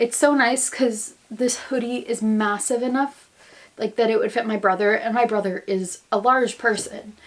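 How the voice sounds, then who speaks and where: With an American accent and an animated tone, a woman talks at a moderate pace in a fairly high pitch while noticeable background noise runs underneath. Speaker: vlogger, grad student. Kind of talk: casual vlog monologue. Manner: chatty, animated.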